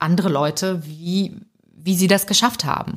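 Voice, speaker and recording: At a fairly slow pace, a woman speaks in a medium pitch that is somewhat breathy, with ordinary pitch variation. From Ukraine, raised in Germany from age eight. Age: 30s. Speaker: author and comedian. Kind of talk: podcast interview. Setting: remote recording.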